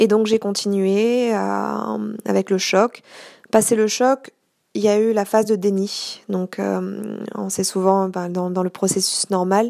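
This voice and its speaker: A woman's very slow speech on a very clean recording with a silent background. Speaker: podcaster with multiple sclerosis. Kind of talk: personal testimony monologue. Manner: hesitant, with fillers.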